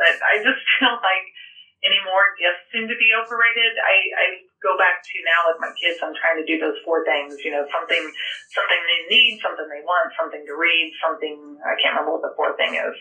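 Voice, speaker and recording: With an American accent, a woman talks at a fairly quick pace against noticeable background noise. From rural Illinois, US Midwest. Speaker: agricultural energy sales and marketing director. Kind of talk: interview conversation. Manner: hesitant with fillers.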